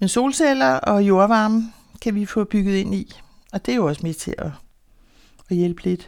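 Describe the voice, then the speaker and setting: A woman's medium-pitched, lively voice at a fairly slow pace, broken by long, frequent pauses, on a very clean recording with a silent background. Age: 60s. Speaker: beekeeper and housing association resident. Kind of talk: casual interview; reading aloud.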